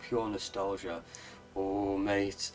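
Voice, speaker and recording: Speaking very slowly with a Welsh accent, a man has a fairly low voice. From Wales. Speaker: gaming streamer. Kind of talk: live gameplay stream chat. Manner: casual, halting with fillers.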